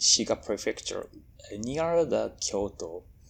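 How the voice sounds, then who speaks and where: A man speaks with a Japanese accent. The recording is very clean and the background silent. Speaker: furry convention staff member. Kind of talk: interview. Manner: halting.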